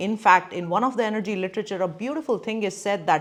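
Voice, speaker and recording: Lively intonation runs through this speech in a Gujarati accent. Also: woman. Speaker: neurologist and brain coach. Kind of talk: educational talk to camera.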